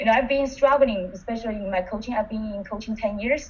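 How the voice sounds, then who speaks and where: Her voice is somewhat breathy and medium in pitch, with ordinary pitch variation. The woman speaks with a non-native accent. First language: not English. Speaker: coach. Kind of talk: webinar participant reflection. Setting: online webinar.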